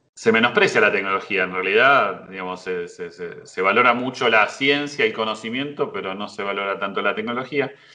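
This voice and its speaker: A man's medium-pitched voice, bright and sharp in tone, with ordinary pitch variation, a fairly quick pace and big swings in loudness. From Buenos Aires, Argentina. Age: 50s. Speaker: university professor. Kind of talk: interview. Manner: hesitant, many fillers.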